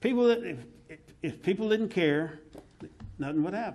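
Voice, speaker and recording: This is a man speaking with an American accent. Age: 60s. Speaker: tourism board member. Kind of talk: public meeting discussion. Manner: halting.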